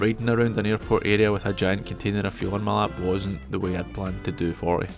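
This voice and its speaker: A man with a Scottish accent talks at a very fast pace over music in the background. His pitch is fairly low, with ordinary variation. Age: 40s. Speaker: motorcyclist. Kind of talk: travel vlog narration.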